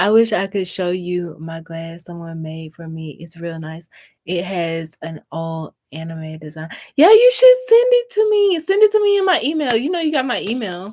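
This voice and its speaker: A woman with a slight Southern US accent and big swings in loudness. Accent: slight Southern accent, stronger when tired. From US South, Mississippi. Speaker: crafting YouTuber. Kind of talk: live stream chat while crafting. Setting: YouTube live stream. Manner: slow, drawn-out vowels.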